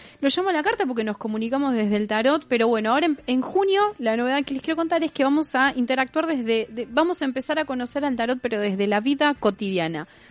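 Against noticeable background noise, a woman with a high pitch talks at a very fast pace with lively intonation and hardly any pauses. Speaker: radio host. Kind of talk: casual chat.

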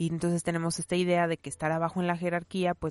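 A woman speaks at a fairly quick pace in a fairly low pitch, with a quiet background and a dry, close sound with no echo. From Mexico, León, Guanajuato. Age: 30s. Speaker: podcaster. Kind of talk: casual monologue. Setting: home recording behind a wardrobe.

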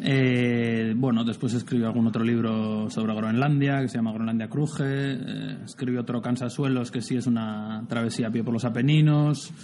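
Through noticeable background noise, a man speaks at a moderate pace with fairly even intonation and hardly any pauses. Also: medium pitch for a man. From Basque Country, San Sebastián. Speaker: writer and adventurer. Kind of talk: interview.

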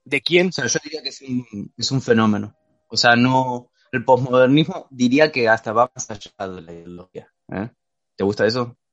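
In a dry, close sound with no echo, a man speaks at a medium pitch with ordinary pitch variation and big swings in loudness. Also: moderate pace. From Argentina. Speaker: podcast guest presenting a philosophy topic. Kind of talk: casual chat. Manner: halting.

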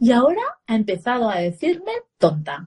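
A woman's somewhat breathy, fairly high voice with very wide pitch swings. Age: 40s. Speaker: parenting educator and former radio journalist. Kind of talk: casual live-stream interview.

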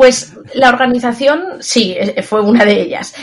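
A woman speaks with a high pitch and ordinary pitch variation. Noticeable background noise runs behind her. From Zaragoza, Spain. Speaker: English teacher and exam coach. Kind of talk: interview.

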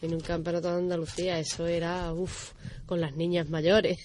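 A woman's fairly low, monotone voice with flat intonation at a fairly slow pace, plus audible room echo. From Dos Hermanas and Seville, Andalusia. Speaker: athlete and coach. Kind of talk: radio interview.

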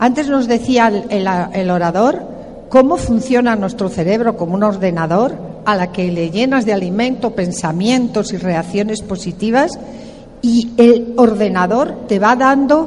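A woman's fairly high voice with ordinary pitch variation, audible room echo and noticeable background noise. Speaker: motivational speaker. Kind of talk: motivational talk. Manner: animated.

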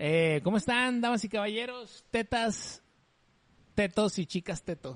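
This man talks in a high pitch with an animated tone. His intonation is lively. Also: dry, close sound with no echo. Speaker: podcast co-host. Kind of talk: casual chat.

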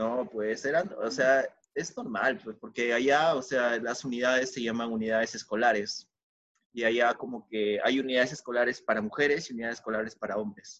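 A man with a Peruvian accent, medium pitch, ordinary pitch variation and a moderate pace. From Peru, Tarma. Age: 20s. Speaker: podcast host. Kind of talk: casual chat.

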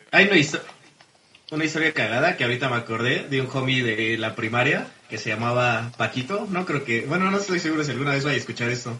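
Speaking very fast with lively intonation, a man with a Mexican accent talks at a medium pitch over noticeable background noise. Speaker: podcast host. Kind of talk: casual chat.

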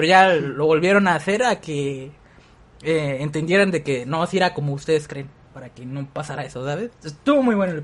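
A man talking at a fairly quick pace. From southern Mexico. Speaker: podcast host. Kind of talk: casual chat.

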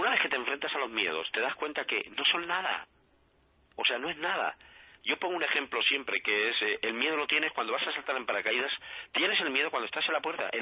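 Very fast delivery with lively intonation. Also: man. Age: 50s. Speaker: life coach. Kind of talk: radio interview.

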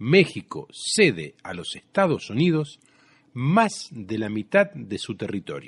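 Against a quiet background, a man talks at a very slow pace, his fairly high voice making very wide pitch swings. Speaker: radio host. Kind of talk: radio show with music and news commentary.

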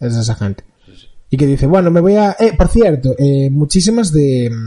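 Lively intonation marks this voice. Its tone is dark and mellow, and somewhat breathy. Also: man. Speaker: podcast co-host. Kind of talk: casual chat.

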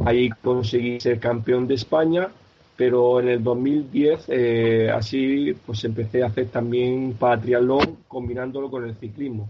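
Delivered at a fairly slow pace, a man's medium-pitched voice has fairly even intonation and is a plain, everyday voice. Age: 50s. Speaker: para-triathlete, pharmacy sales rep. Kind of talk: interview.

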